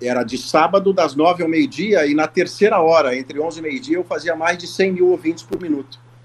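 A man talks at a high pitch with noticeable background noise behind him. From Brazil, Porto Alegre (Rio Grande do Sul). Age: 50s. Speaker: sports journalist and commentator. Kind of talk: casual interview chat.

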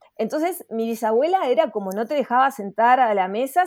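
A woman talks at a high pitch and a fairly quick pace, with ordinary pitch variation. The recording is very clean, with a silent background. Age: 50s. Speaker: astrologer and author. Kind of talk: interview. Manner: hesitant, frequent fillers.

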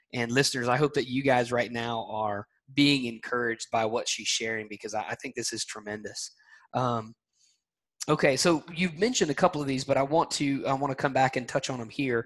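Talking at a fairly quick pace against a quiet background, a man in a Southern US accent uses a medium pitch and ordinary pitch variation. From US South, Alabama. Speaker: podcast host. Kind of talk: interview. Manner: friendly.

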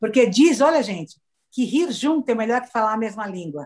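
Animated and fairly quick, a woman talks at a fairly high pitch with lively intonation. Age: 60s. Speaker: motivational speaker. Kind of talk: casual chat. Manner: fast.

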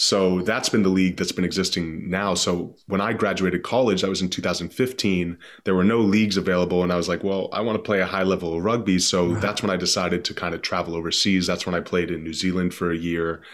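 Very deep and low, a man's voice rushes at a very fast pace with hardly any pauses and monotone, flat intonation. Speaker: podcast guest, rugby player.

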